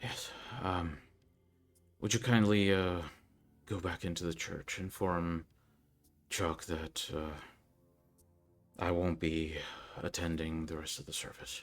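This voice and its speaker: A man's put-on character voice, very deep and low, at a fairly slow pace with long, frequent pauses. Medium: actual play. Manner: measured, instructive.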